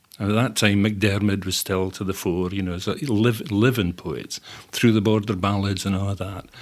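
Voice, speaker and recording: A man with a Scottish accent and fairly low pitch speaks at a moderate pace with fairly even intonation. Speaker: poet and translator. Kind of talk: interview and poetry reading. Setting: studio. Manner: wry, humorous.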